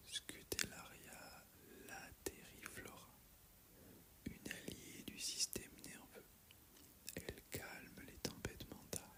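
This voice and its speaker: Someone is whispering in a gentle tone. Noticeable background noise sits behind the voice. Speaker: herbalist (roleplay character). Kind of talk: ASMR roleplay, soothing guided talk. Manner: soft-spoken, slow, gentle.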